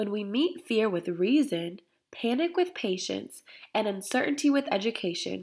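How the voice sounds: Intonation is lively in this natural reading voice. No noise comes from behind it.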